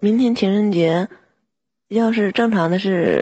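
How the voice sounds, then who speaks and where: A woman speaks with ordinary pitch variation. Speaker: live stream caller. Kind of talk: casual chat.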